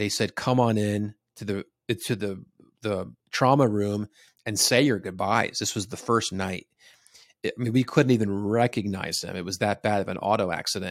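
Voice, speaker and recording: In an American accent, an unremarkable speaking voice goes at a moderate pace with fairly even intonation. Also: man, fairly low pitch for a man. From US Northeast, New Jersey. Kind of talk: casual interview.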